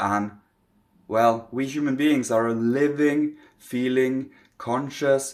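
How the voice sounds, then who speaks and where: Speaking slowly-ish at a fairly slow pace, a man with a non-native accent uses a medium pitch and ordinary pitch variation. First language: not English. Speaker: spiritual teacher. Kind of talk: spiritual talk to camera.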